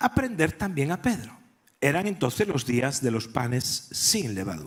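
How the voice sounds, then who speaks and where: A man in a Galician accent speaks at a fairly slow pace with very wide pitch swings. The recording is very clean, with a silent background. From Galicia, Spain. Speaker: pastor. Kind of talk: sermon.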